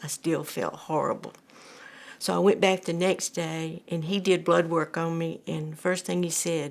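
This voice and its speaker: A woman with an Alabama accent speaks at a fairly slow pace and a fairly low pitch, with monotone, flat intonation. The recording is very clean, with a silent background. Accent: Southern US (Alabama). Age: 70s. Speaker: cancer patient. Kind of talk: testimony. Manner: halting.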